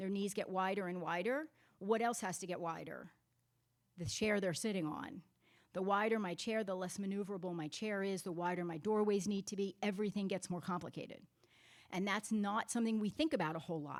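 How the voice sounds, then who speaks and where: This woman talks at a fairly quick pace. Her pitch varies in an ordinary way. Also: medium pitch for a woman. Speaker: physical therapist. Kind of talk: workshop presentation. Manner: loud.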